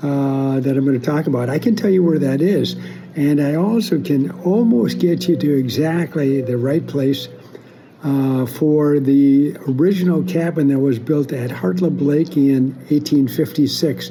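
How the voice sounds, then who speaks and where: Against noticeable background noise, a man speaks at a fairly slow pace with a fairly high pitch. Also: ordinary pitch variation, very even loudness. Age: 70s. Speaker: family historian. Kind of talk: casual monologue. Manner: halting.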